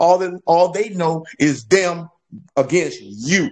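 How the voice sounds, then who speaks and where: A man with an American accent speaks at a high pitch with ordinary pitch variation against a quiet background. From South Florida. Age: 60s. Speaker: congressional candidate. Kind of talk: panel discussion.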